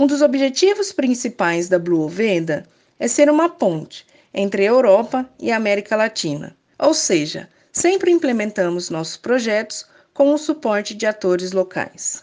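Her fairly high voice shows very wide pitch swings as this woman speaks at a moderate pace. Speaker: NGO founder, researcher. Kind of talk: scripted announcement.

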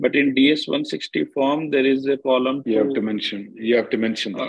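He speaks in an unremarkable speaking voice, medium in pitch. His intonation is fairly even, and his pace is moderate. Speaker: immigration attorney. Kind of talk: live Q&A conference call answering callers' immigration questions. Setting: video conference call.

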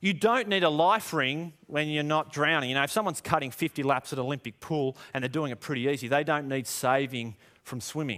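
A man with an Australian accent talks at a moderate pace in a bright, sharp tone at a medium pitch. His intonation is lively, on a very clean recording with a silent background. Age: 30s. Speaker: pastor. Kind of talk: sermon.

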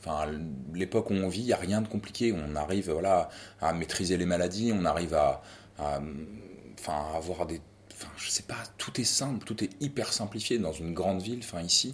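This man talks at a moderate pace with a very deep, low pitch. His intonation is lively. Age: 40s. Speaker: father. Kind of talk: testimony. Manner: halting.

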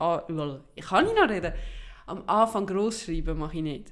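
A woman with a Swiss accent speaks at a moderate pace, her fairly low pitch showing ordinary pitch variation. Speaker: podcast co-host. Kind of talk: casual chat.

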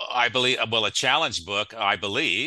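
Against a quiet background, a man's bright, sharp tone moves at a fairly quick pace. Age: 60s. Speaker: podcast co-host. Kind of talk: casual chat. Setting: video call.

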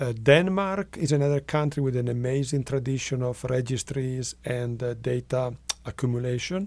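With an Italian accent, a man speaks at a moderate pace with ordinary pitch variation. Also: medium pitch for a man. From northwest Italy. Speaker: medical researcher. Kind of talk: interview.

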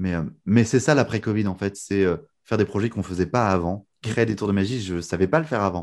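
The recording is very clean, with a silent background, as a man speaks fairly quickly in an ordinary speaking voice. His pitch is fairly low, with ordinary variation. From northern France, Lille. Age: 20s. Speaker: magician and mentalist. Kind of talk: casual interview.

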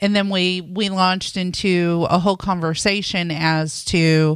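With an American accent and a fairly low pitch, a woman talks in an unremarkable speaking voice with fairly even intonation, captured in a very clean recording with a silent background. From Indiana (Boonville). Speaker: mortgage lender, radio co-host. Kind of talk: casual radio talk show.

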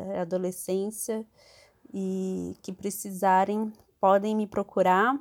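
At a fairly slow pace, a woman with an unremarkable speaking voice speaks at medium pitch in a very clean recording with a silent background. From interior of São Paulo state, Brazil. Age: 30s. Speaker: NGO worker. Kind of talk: casual chat.

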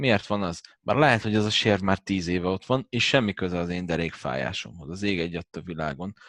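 A man speaks fairly quickly with hardly any pauses, in a very deep, low voice with vocal fry and lively intonation. The sound is dry and close with no echo, over a quiet background. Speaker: massage therapist and former fitness coach. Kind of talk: casual chat.

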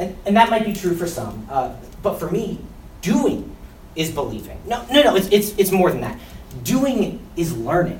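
A man with an American accent speaks at a fairly slow pace in a high pitch, with very wide pitch swings and an animated, playful tone. Noticeable background noise runs underneath. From West Philadelphia, US. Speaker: behavior interventionist at a school. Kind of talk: spoken word poem, performed for staff. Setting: in front of school staff. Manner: comedic, self-interrupting, laughing.

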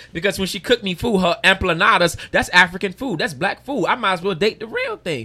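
The voice is raised and projected, bright and sharp in tone, racing along at a very fast pace with lively intonation and hardly any pauses. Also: man. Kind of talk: casual chat. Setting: restaurant recording.

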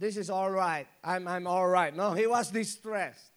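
A man speaks in a high voice with an animated tone and ordinary pitch variation. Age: 40s. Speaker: pastor. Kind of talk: sermon.

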